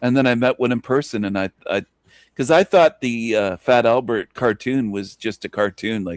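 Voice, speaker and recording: Recorded very cleanly against a silent background, with a dry, close sound and no echo, a man speaks at a moderate pace in a medium pitch with ordinary pitch variation. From rural Canada. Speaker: livestream host. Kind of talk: casual chat. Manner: joking, animated.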